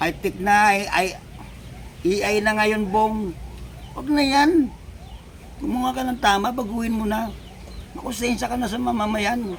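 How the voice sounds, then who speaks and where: The voice moves at a moderate pace with ordinary pitch variation and long, frequent pauses, over noticeable background noise. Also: man, high pitch for a man. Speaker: vlogger. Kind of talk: political commentary vlog. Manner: animated.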